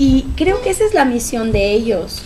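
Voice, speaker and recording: A woman speaks at a fairly slow pace in a high voice, with light background noise behind her. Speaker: choreographer and dance director of the project. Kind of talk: casual interview. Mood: warm, proud, emotional. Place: home room. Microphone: podium.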